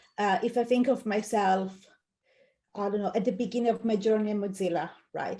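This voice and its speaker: The voice has a dark, mellow tone and an Italian accent, with fairly even intonation. It moves at a fairly quick pace broken by long, frequent pauses. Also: woman, fairly high pitch for a woman. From Italy. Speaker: UX design manager. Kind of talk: interview.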